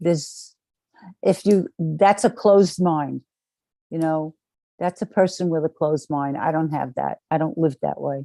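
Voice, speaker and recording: A woman with a very deep, low pitch and a dark, mellow tone speaks at a fairly slow pace with long, frequent pauses and ordinary pitch variation, in a dry, close sound with no echo. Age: 70s. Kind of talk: interview.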